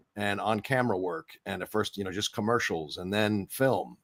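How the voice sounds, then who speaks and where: At a moderate pace, a man with a fairly low pitch and ordinary pitch variation speaks in a dry, close sound with no echo on a very clean recording with a silent background. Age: 60s. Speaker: voice actor and actor. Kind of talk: interview. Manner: halting, many fillers.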